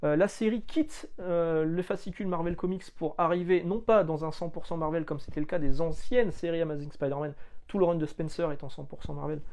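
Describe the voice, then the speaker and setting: A man's high voice shows ordinary pitch variation as he talks at a fairly quick pace. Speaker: comics YouTuber. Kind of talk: casual video monologue. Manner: fast; hesitant, many fillers.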